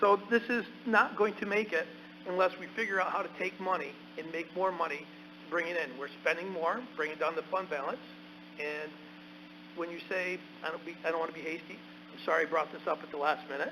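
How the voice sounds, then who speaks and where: Noticeable background noise runs under a high-pitched man who speaks at a fairly quick pace with big swings in loudness. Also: ordinary pitch variation. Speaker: county legislator. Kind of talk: council meeting debate.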